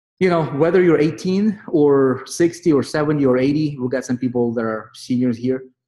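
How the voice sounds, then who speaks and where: A man with a non-native accent, fairly high pitch and ordinary pitch variation, a dark, mellow tone, and a moderate pace. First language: not English. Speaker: online marketing group leader. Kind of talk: motivational group call. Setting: online group meeting. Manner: animated.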